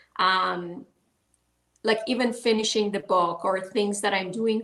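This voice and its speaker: A woman with a Persian accent speaks at a fairly slow pace, her medium pitch moving with ordinary variation. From Iran. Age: 40s. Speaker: author and life coach. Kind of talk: interview. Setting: live online talk show. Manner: halting.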